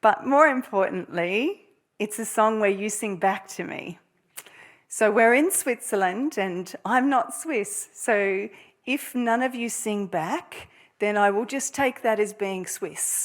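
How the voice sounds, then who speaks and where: A woman's fairly high voice with ordinary pitch variation, at a very slow pace. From Australia. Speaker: music therapy professor. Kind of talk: lecture. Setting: lecture hall with audience.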